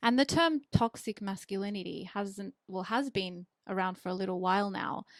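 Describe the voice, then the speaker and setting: A woman speaks in an Australian accent at medium pitch and a moderate pace. Her pitch varies in an ordinary way, and the sound is dry and close with no echo. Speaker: charity admin worker and podcast guest. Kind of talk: casual chat.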